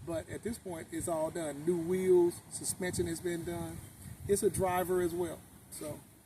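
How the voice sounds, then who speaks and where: With an American accent, a man speaks fairly slowly in a high pitch, his dark, mellow tone delivered with monotone, flat intonation. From Oakland, California. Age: 60s. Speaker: car owner, sanitation supervisor. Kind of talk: interview. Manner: halting.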